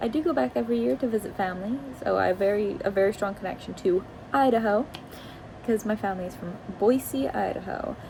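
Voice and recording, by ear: A woman with an American accent talks at a very fast pace with lively intonation. Noticeable background noise is present. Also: medium pitch for a woman.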